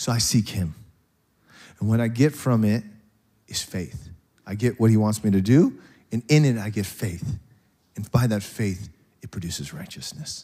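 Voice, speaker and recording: On a very clean recording with a silent background, a somewhat breathy man speaks at a fairly low pitch and moderate pace, with lively intonation. His loudness swings widely, and he takes long, frequent pauses. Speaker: pastor. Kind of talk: sermon. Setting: church.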